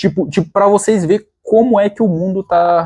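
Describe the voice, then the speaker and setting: A man talks in a dark, mellow tone, his pitch moving in an ordinary way. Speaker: fitness vlogger. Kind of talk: casual vlog storytelling. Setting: at home. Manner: halting, many repetitions.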